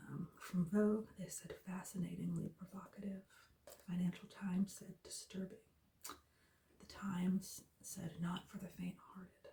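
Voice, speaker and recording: The speaker is soft-spoken and relaxed in tone. The pace is fairly slow. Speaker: ASMR video creator. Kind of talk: reading book blurb and reviews aloud. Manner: soft-spoken, relaxed.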